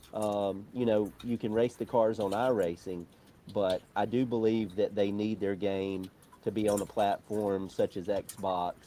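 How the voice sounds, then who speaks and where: A man with an Alabama accent speaks slowly in a fairly low pitch, his dark, mellow tone held to a monotone, flat intonation. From Alabama, US South. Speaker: motorsport journalist. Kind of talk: interview.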